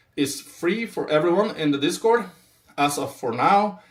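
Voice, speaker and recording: A man with a non-native accent and lively intonation. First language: not English. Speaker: crypto trader. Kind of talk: live stream market analysis. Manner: animated, hyped; halting, with fillers.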